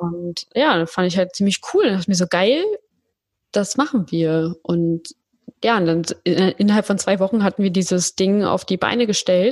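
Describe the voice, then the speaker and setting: A woman talks at medium pitch and a moderate pace with ordinary pitch variation in an ordinary speaking voice, with a dry, close sound and no echo. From Berlin, Germany. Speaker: podcast agency founder. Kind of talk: casual interview chat.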